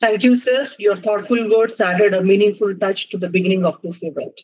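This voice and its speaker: Over a quiet background, a woman speaks at a fairly quick pace. Her voice is somewhat breathy, with fairly even intonation. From India. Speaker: faculty member, master of ceremony. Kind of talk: formal speech. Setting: video call. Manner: formal. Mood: polite, respectful. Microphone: video call.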